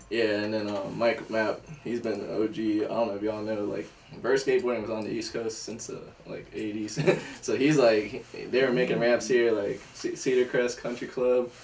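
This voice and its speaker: A man with an American accent speaks at a moderate pace and with fairly even intonation, with audible room echo and noticeable background noise. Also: medium pitch for a man. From northern Virginia, US. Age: 20s. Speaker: skateboarder. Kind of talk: casual chat.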